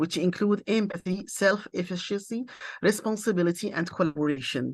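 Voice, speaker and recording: A woman speaks at a fairly low pitch with ordinary pitch variation. Her pace is moderate and the background is quiet. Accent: Arabic. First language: Arabic. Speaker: university lecturer and interpreter. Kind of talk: conference presentation. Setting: international seminar. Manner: halting, many hesitations.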